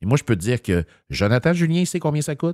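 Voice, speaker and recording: A man with a Quebec accent, fairly high in pitch, very fast and lively in intonation, with a dry, echo-free sound over a quiet background. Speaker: municipal politician. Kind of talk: political commentary in casual chat. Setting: studio. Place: studio.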